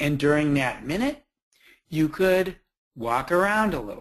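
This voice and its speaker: A man talks at a fairly slow pace. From New Jersey. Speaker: behavior support trainer. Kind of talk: webinar presentation. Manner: animated.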